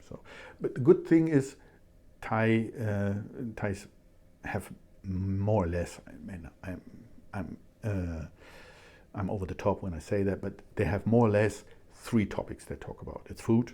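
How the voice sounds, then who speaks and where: A man with a German accent speaks slowly in a fairly low, dark, mellow voice, pausing long and often. His loudness swings widely on a very clean recording with a silent background. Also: ordinary pitch variation. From Germany. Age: 60s. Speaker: scientist and language student. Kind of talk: casual interview. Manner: halting.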